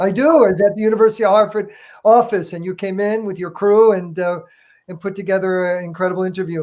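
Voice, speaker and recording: Talking very fast with an American accent, a man holds a high pitch and fairly even intonation while his loudness swings a lot. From US Northeast, Connecticut. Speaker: goalkeeper coach. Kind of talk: interview.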